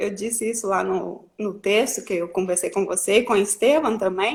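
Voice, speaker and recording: Medium pitch, ordinary pitch variation and a moderate pace from a woman with an ordinary speaking voice. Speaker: journalist, live show host. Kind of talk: interview.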